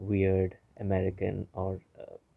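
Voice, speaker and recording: Soft-spoken and with monotone, flat intonation, a man talks in a fairly low pitch. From India, grew up partly in Africa. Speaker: YouTuber. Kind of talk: vlog monologue. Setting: home recording. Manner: soft-spoken, low volume; halting, many fillers.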